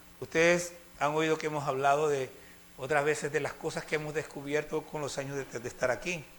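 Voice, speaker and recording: A man with a fairly high voice talks at a moderate pace over noticeable background noise. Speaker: preacher. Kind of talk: sermon.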